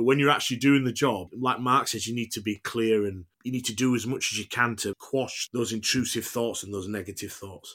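At a fairly quick pace and with hardly any pauses, a man speaks in a Yorkshire accent. His pitch is medium and his intonation fairly even. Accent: broad Yorkshire. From Huddersfield, Yorkshire. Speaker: actor. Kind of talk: casual interview chat.

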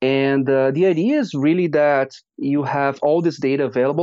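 A man with a Portuguese accent talks at a moderate pace and medium pitch, his tone dark and mellow and his intonation fairly even, against a quiet background. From Brazil. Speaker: data scientist. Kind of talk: interview.

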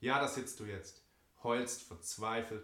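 A man's fairly low voice with audible room echo. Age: 20s. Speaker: church member giving testimony. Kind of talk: reading aloud a personal letter.

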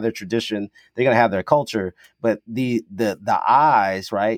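Medium in pitch and fairly quick, a man talks in a normal speaking voice. The recording is very clean with a silent background, and the sound is dry and close with no echo. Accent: American. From US South (Kentucky). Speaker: sports historian, podcast co-host. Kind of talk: casual chat.

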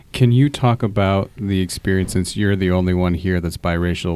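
At a moderate pace and fairly low pitch, a man speaks with a Midwestern accent. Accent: general American, Midwestern. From Fort Wayne, Indiana. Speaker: teacher and podcast host. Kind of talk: moderated discussion. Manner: hesitant, many fillers.

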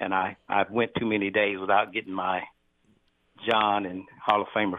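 A nasal, fairly low-pitched man at a moderate pace, with little pitch movement.

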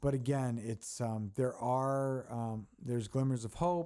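A man with an American accent speaks at a medium pitch, his tone dark and mellow and his intonation fairly even. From Baltimore, Maryland. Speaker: nonprofit CEO. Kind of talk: podcast interview.

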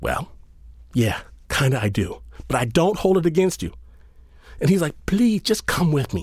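In an animated, playful tone, a man speaks at a moderate pace and a fairly high pitch, with very wide pitch swings, vocal fry, and long, frequent pauses. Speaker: storyteller. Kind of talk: storytelling, personal anecdote told in first person with comic asides and laughter. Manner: animated, wry and playful, voicing other characters in dialogue; conversational, casual slang, humorous and self-mocking.

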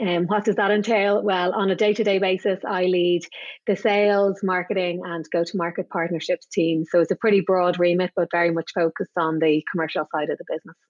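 A woman with an Irish accent talks with fairly even intonation and hardly any pauses. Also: medium pitch for a woman, fairly quick pace. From Ireland. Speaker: business executive. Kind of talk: casual interview.

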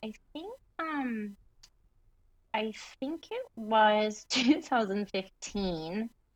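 A woman with an American accent, fairly high-pitched and very slow, with big swings in loudness and long, frequent pauses. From Michigan, US Midwest. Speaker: interior designer and business owner. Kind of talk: interview.

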